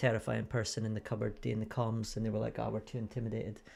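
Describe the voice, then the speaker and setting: Spoken in a Scottish accent at a very fast pace, the voice carries vocal fry. The intonation is monotone and flat. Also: man. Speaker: snooker commentator. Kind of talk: live commentary. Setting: small commentary booth.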